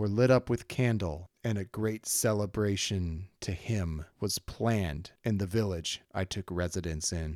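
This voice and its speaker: A plain, everyday voice speaks at a fairly slow pace with fairly even intonation, recorded dry and close with no echo in a very clean recording with a silent background. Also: man. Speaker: solo tabletop roleplaying podcast host and narrator. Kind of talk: dramatic first-person narration of a fantasy story, read as the villainous sorcerer. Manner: brooding, theatrical, menacing; measured, storytelling pace with descriptive flourishes.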